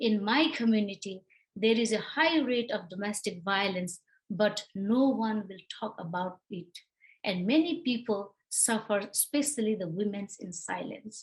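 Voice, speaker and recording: A somewhat breathy woman's voice with a Nepali accent, fairly high in pitch, with ordinary pitch variation and a fairly slow pace. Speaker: domestic violence advocate. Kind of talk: prepared remarks.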